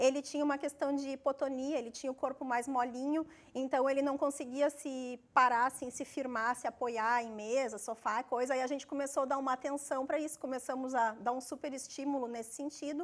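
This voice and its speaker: With hardly any pauses, a woman talks at a fairly quick pace in a high pitch and a monotone, flat intonation. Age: 40s. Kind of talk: interview testimony.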